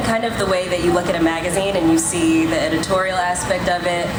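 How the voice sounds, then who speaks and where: A woman at a fairly low pitch and a very fast pace, with monotone, flat intonation, very even loudness and noticeable background noise. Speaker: travel content creator and entrepreneur. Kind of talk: conference panel answer.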